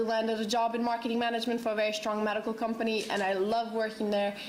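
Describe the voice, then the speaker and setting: With a Croatian accent, a woman talks at a fairly quick pace and fairly high pitch in a monotone, flat intonation, with audible room echo and noticeable background noise. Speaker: beauty vlogger and student. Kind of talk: panel introduction.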